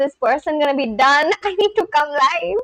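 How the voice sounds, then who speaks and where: A woman with an Indian accent speaks at a high pitch with very wide pitch swings, the sound dry and close with no echo. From India, West Bengal. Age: 20s. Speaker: live streamer. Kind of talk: casual chat.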